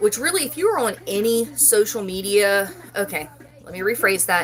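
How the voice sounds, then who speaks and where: A woman's medium-pitched voice with an American accent, over noticeable background noise. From West Virginia, Parkersburg. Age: 40s. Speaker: loom knitting YouTuber. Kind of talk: casual live stream chat. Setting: live stream.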